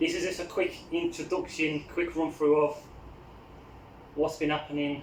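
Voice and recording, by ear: A man speaks in a fairly high pitch with little pitch movement. His moderate pace carries audible room echo.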